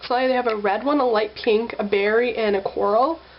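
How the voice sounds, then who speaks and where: Noticeable background noise accompanies a woman speaking. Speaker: beauty vlogger. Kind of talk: makeup tutorial. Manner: casual, filler-heavy.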